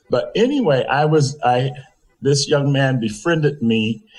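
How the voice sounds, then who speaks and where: A man with an American accent speaks at a very slow pace in a fairly high, somewhat breathy voice. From US South, Conway, South Carolina. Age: 70s. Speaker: interview guest, community figure. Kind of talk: interview.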